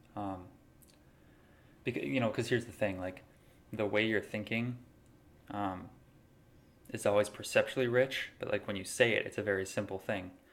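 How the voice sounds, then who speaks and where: The speaker leaves long, frequent pauses. Intonation stays fairly even. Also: man, fairly low pitch for a man, moderate pace. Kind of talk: casual philosophical talk to camera.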